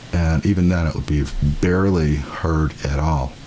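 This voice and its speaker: Over noticeable background noise, a man with a very deep, low pitch talks in a relaxed tone with ordinary pitch variation. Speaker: musician testing a video recorder. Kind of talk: equipment test talk.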